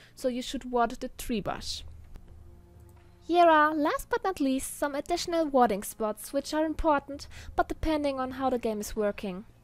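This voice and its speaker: Music plays in the background as a woman talks at a moderate pace. Her voice is high-pitched, with lively intonation. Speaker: gaming tutorial youtuber. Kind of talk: tutorial.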